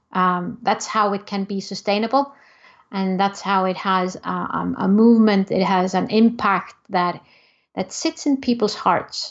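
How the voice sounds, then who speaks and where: Fairly slow speech with an Icelandic accent and ordinary pitch variation. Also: woman, medium pitch for a woman. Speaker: entrepreneur. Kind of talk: interview.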